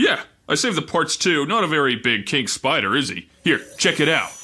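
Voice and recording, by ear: A man does a put-on character voice, fairly high-pitched with a bright, sharp tone and a slightly husky edge. His pitch swings widely at a moderate pace.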